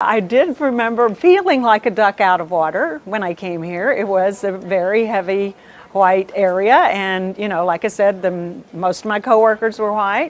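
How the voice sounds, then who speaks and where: A woman talks at a moderate pace and medium pitch, with ordinary pitch variation and hardly any pauses. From US South, South Texas (Rio Grande Valley). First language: Spanish. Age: 60s. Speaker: retired TV news anchor. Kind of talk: interview.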